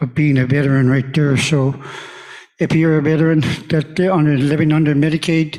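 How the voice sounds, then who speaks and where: A man talks at a fairly quick pace in a fairly high pitch, with monotone, flat intonation and very even loudness. Noticeable background noise is present. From Alaska. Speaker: veteran, conference attendee. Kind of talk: audience comment at conference.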